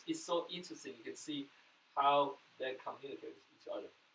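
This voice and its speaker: A man talks at a fairly quick pace. He speaks with a Taiwanese accent. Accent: Taiwanese Mandarin-accented English. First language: Mandarin. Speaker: pastor. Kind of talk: sermon.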